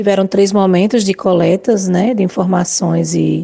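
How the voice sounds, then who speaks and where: This woman has a medium pitch. Her intonation stays fairly even. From Alagoas, Brazil (Arapiraca). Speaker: nursing professor. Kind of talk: radio interview. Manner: halting, many fillers.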